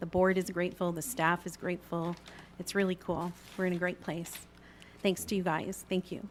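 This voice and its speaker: The speaker keeps a monotone, flat intonation at a moderate pace. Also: woman. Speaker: chamber of commerce director. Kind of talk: presentation to city council. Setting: council chamber meeting.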